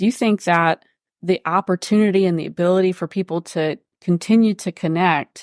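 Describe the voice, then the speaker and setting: A woman in an ordinary speaking voice, fairly low in pitch with ordinary pitch variation, at a moderate pace, on a very clean recording with a silent background and a dry, close sound with no echo. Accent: American. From Pennsylvania. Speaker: state environmental official. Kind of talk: casual chat.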